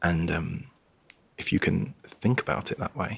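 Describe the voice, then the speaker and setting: The speaker is soft-spoken, with a calm tone and lively intonation. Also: man, dry, close sound with no echo. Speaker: travel show host. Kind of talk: ASMR reading. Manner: calm, soft-spoken.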